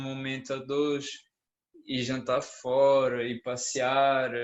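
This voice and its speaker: In a room with audible echo, a man speaks very slowly at a fairly high pitch. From Brazil. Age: 20s. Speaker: conference speaker, engineering student. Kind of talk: conference talk as a couple. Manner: calm.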